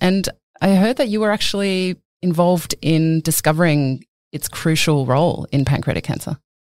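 A woman talks at a moderate pace in an ordinary speaking voice, fairly low in pitch, with lively intonation. The sound is dry and close, with no echo. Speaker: podcast host. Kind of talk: interview, scripted intro.

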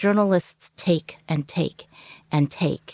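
At a fairly slow pace, a woman speaks with lively intonation in a dry, close sound with no echo. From Canada. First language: Cantonese. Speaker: journalist. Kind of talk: interview.

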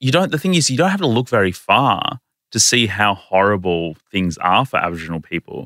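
A man with an Australian accent and a bright, sharp tone, the sound dry and close with no echo. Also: fairly low pitch for a man, lively intonation, fairly quick pace, very clean recording, silent background. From Australia (Indian-born, arrived as a small child). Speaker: writer, lawyer and activist. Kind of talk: casual interview conversation. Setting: podcast studio.

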